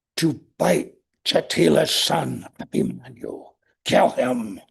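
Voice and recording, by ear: A man's raspy put-on character voice at a very slow pace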